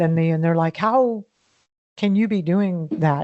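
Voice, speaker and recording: This woman has an unremarkable speaking voice, fairly low in pitch. She talks at a moderate pace with ordinary pitch variation. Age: 60s. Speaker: founder of a backyard food production network. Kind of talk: podcast interview.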